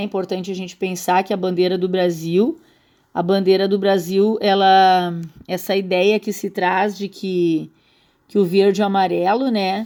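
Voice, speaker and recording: A woman's dark, mellow voice at a medium pitch, monotone and flat, in a very clean recording with a silent background. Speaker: school teacher. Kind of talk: recorded slide lecture. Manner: halting, many fillers and repetitions.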